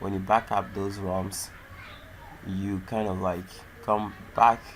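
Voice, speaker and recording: Speaking very slowly with a non-native accent, the man keeps a fairly low pitch and monotone, flat intonation. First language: not English. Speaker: tech YouTuber. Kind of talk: tutorial. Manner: halting.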